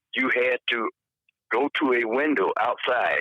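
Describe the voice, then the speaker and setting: A man with a Southern US accent. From Alabama, US South. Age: 70s. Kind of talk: interview answer.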